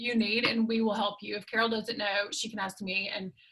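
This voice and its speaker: With a Southern accent, a woman talks at a fairly high pitch with fairly even intonation. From US South. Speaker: skincare sales consultant. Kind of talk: sales pitch.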